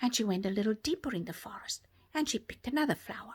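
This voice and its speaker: A woman speaks at a fairly quick pace in a gentle tone. Her voice is somewhat breathy, with very wide pitch swings. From South Africa. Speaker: storyteller for toddlers. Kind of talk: children's bedtime story. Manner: gentle, soft-spoken.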